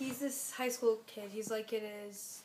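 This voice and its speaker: A woman with a fairly high pitch and fairly even intonation. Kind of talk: casual spoken review. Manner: hesitant, rambling.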